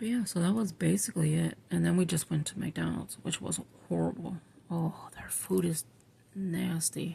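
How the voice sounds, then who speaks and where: A woman speaks quietly at a moderate pace. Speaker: scripture writing vlogger. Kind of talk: casual chat. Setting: at home at night while others sleep. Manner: quiet, low voice.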